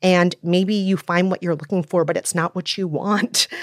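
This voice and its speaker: In an ordinary speaking voice, a woman with an American accent talks at a moderate pace and fairly low pitch, the sound dry and close with no echo on a very clean recording with a silent background. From Minnesota, US. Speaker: podcast host and film commentator. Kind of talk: casual panel discussion.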